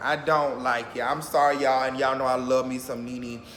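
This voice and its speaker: A man amid music in the background and audible room echo. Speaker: YouTuber reacting to reality TV. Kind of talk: casual vlog commentary.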